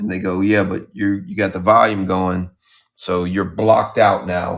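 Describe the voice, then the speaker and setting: The recording is very clean, with a silent background. A man talks at a moderate pace. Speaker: painter livestreaming his work. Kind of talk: casual livestream chat while painting.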